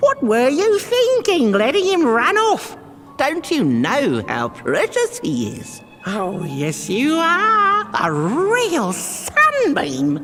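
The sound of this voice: In a put-on character voice, a woman speaks slowly at a high pitch with a fairly bright tone and very wide pitch swings, while faint music plays in the background.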